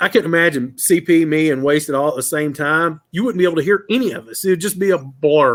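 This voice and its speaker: At a very fast pace with hardly any pauses, a man talks at a fairly high pitch with ordinary pitch variation. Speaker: car channel streamer. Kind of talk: casual chat. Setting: live stream panel. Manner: loud.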